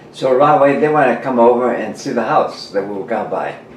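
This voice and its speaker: A man speaks at a fairly quick pace in a medium pitch, with ordinary pitch variation. Audible room echo and noticeable background noise are present. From New Mexico. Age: 90s. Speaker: war veteran. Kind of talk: casual chat. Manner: halting.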